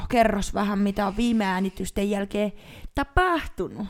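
Fairly unhurried speech from a woman, its pitch swinging very widely. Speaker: podcast co-host. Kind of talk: casual chat. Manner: loud.

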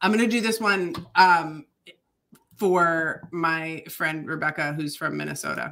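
With an Upper Midwest accent, a woman talks at a fairly slow pace in a fairly low pitch, with ordinary pitch variation and a bright, sharp tone. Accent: Upper Midwest American. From Michigan, US Upper Midwest. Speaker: podcast co-host, runner. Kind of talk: casual chat, live show banter. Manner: playful, animated.

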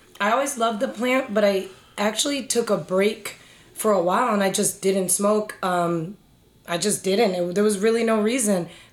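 A woman talks at a moderate pace with very even loudness and ordinary pitch variation. Hers is an unremarkable speaking voice. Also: medium pitch for a woman. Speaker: cannabis industry professional. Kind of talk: casual podcast chat.

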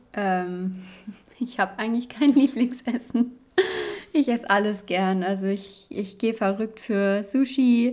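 This woman has an ordinary speaking voice, pitched fairly high, moving at a fairly slow pace with ordinary pitch variation. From western Germany, Cologne. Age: 20s. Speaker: medical student, podcast co-host. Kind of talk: casual chat.

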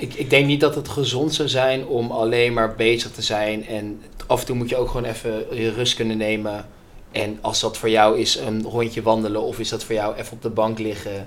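Audible room echo surrounds speech with fairly even intonation, delivered at a moderate pace. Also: man, medium pitch for a man. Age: 20s. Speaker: business student and customer success employee. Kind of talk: casual interview.

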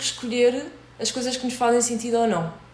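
A woman speaks at a fairly quick pace and fairly high pitch, with audible room echo and noticeable background noise. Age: 30s. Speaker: podcast host. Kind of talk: casual chat.

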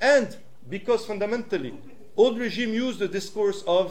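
Noticeable background noise and audible room echo fill the clip. Through them, a man talks. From Switzerland. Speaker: activist and lecturer. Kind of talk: public talk. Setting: stage with audience.

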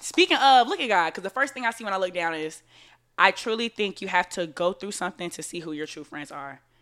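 Talking very fast with lively intonation, a woman at a medium pitch has a bright, sharp tone and big swings in loudness, recorded very cleanly against a silent background. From Florida. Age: 20s. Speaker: podcast host. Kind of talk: casual chat.

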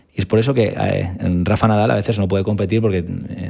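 Noticeable background noise surrounds a man speaking with fairly even intonation. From Spain, Valencia. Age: 30s. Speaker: foot and ankle surgeon. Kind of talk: interview.

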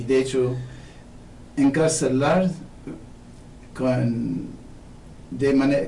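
A man with a non-native accent speaks at a very slow pace in a medium pitch. The room echo is audible. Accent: foreign accent in Spanish. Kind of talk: radio interview.

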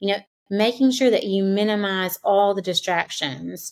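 A woman talks with a plain, everyday voice. Her pitch is medium and her pace moderate. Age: 40s. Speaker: teacher and podcast co-host. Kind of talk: casual chat.

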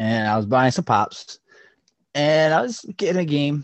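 This man has an ordinary speaking voice, talking at a moderate pace with lively intonation. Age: 20s. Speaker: podcast co-host. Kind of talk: casual chat. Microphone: poor audio quality.

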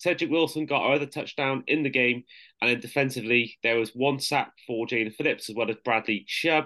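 Speaking with a British accent, a man holds very even loudness and fairly even intonation. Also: medium pitch for a man, fairly quick pace. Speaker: podcast host. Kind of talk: casual interview chat.

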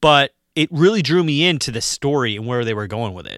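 In a very clean recording with a silent background, a man with a fairly high pitch speaks in a bright, sharp tone and lively intonation, the sound dry and close with no echo. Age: 40s. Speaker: horror movie podcast host. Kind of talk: casual chat.

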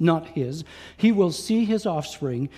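A man speaks at a moderate pace with a dark, mellow tone and lively intonation, recorded very cleanly against a silent background. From Quebec. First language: French (with English). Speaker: guest preacher, Bible college teacher. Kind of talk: sermon. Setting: church with live congregation.

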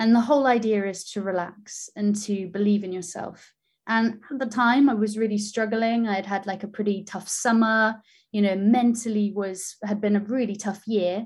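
A somewhat breathy voice at a moderate pace carries a monotone, flat intonation over a very clean recording with a silent background. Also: woman, fairly high pitch for a woman. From Wales, Pembrokeshire, then Canary Islands. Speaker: marine biologist and presenter. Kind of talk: casual interview chat.

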